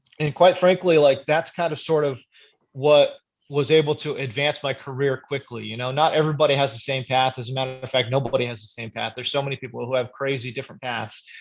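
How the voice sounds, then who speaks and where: The speech moves at a very fast pace with fairly even intonation. Music plays in the background. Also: man, fairly high pitch for a man. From US, raised from age one after emigrating from Korea. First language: Korean. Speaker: fantasy football analyst. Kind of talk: casual interview chat. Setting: podcast interview. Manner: many filler words, conversational.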